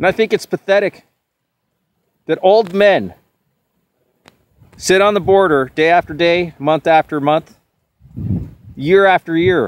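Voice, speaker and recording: A man shouts at a high pitch and a fairly slow pace, with long, frequent pauses and very even loudness. His pitch varies in an ordinary way, and the sound is dry and close with no echo. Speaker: political video blogger. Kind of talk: on-location vlog rant. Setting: outdoors at the border fence. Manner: loud, yelling.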